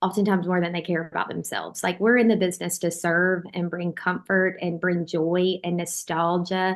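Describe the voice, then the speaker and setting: A woman speaks in a Southern US accent at a fairly low pitch and a moderate pace. Her intonation is monotone and flat, with hardly any pauses. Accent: Southern US (Georgia). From US South, Georgia. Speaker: bakery owner. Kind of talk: interview conversation. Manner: casual, many fillers.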